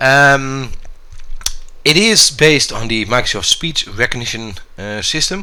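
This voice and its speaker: In a Dutch accent, a man with a medium pitch and a bright, sharp tone speaks at a fairly slow pace with lively intonation and long, frequent pauses. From Netherlands. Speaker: gaming YouTuber. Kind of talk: tutorial. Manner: hesitant, many fillers.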